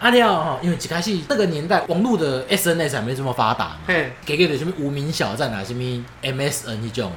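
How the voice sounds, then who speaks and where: With audible room echo around him, a man talks fairly quickly with hardly any pauses and very wide pitch swings. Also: fairly high pitch for a man. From Taiwan, Keelung. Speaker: podcast co-host. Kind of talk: casual chat.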